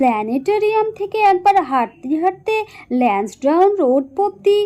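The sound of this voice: What we hear is an unforced reading voice.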